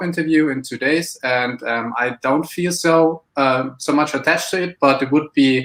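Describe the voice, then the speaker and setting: A German accent at a moderate pace, with fairly even intonation. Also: man. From Germany. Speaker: aspiring entrepreneur. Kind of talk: live mentoring chat. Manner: halting, hesitant.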